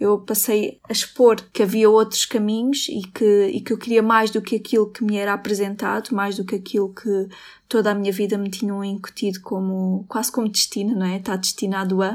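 The voice runs at a moderate pace in a flat monotone with hardly any pauses, in a very clean recording with a silent background. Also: woman, medium pitch for a woman. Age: 20s. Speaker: university student, Roma community member. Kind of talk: interview testimony.

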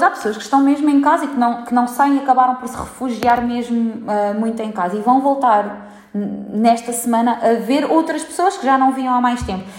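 A woman speaks at a moderate pace in a high pitch. There is audible room echo and noticeable background noise. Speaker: gym founder. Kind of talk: interview.

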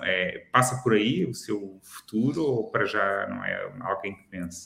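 A man with a normal speaking voice and a medium pitch talks at a fairly slow pace with hardly any pauses, ordinary pitch variation and big swings in loudness. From Lisbon, Portugal. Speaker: food critic, podcast co-host. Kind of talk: casual chat.

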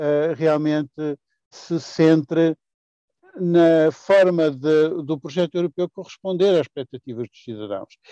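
A man's fairly high pitch and dark, mellow tone, fairly slow with ordinary pitch variation, in a dry, close, echo-free recording. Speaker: politician. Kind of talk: interview. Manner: formal.

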